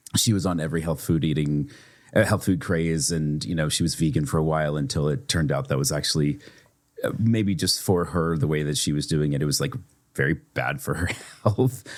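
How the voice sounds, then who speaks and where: With vocal fry and lively intonation, a man speaks in a very deep, low voice. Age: 30s. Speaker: podcast co-host. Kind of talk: casual chat.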